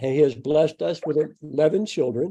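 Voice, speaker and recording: A man with an American accent and a dark, mellow tone talks at a fairly slow pace with fairly high pitch. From United States. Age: 60s. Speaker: guest speaker. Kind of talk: speech.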